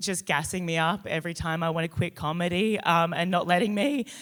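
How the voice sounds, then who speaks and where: The speaker talks with an Australian accent on a very clean recording with a silent background. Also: woman. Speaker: comedian. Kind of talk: award acceptance speech. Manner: halting, many fillers.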